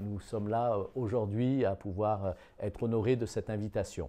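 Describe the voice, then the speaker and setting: Against a quiet background, a man speaks with a dark, mellow tone at a fairly low pitch. His pace is moderate and his intonation fairly even. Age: 60s. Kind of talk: testimony. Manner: halting, many hesitations.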